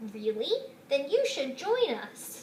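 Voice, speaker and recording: Someone performs a put-on character voice while clear background noise runs underneath. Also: woman, high pitch for a woman. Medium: read story. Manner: friendly, welcoming.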